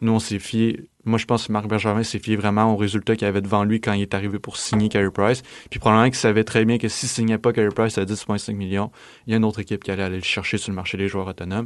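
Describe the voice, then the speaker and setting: A man speaks very fast in a fairly low, monotone voice with flat intonation. The background is quiet. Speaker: university student. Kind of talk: casual chat.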